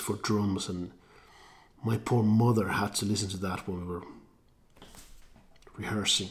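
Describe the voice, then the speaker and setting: A man talks at a moderate pace with a fairly low pitch. His voice is somewhat breathy, and his intonation is fairly even. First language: not English. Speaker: singer-songwriter vlogger. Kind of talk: casual vlog talk. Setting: garage.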